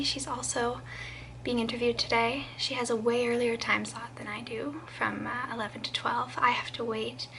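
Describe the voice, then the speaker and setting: Against noticeable background noise, a woman speaks quietly at a moderate pace. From southern Quebec. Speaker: vlogger. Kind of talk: casual vlog storytelling. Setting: at home, early morning.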